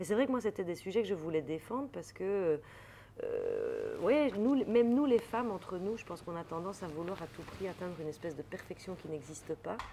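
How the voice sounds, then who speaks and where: A woman speaks at a fairly quick pace in a medium pitch, with a slight Belgian accent. Her intonation is lively. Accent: light Belgian French. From Belgium. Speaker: comedian, actress and author. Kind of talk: interview answer.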